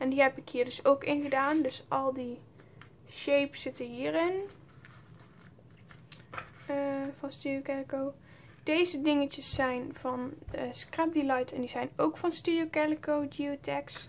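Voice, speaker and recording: Over light background noise, a woman talks at a fairly slow pace in a high pitch, with long, frequent pauses. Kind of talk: casual show-and-tell vlog.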